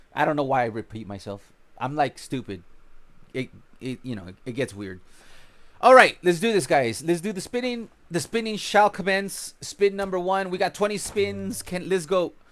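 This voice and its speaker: A man with an American accent speaks at a high pitch and moderate pace, with very wide pitch swings and big swings in loudness. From California. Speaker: gaming streamer. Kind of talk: live gameplay stream chat. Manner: casual, rambling with fillers.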